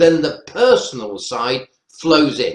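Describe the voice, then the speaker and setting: A man with a fairly high pitch at a very slow pace. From North Wales. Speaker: professor. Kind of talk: webinar panel discussion.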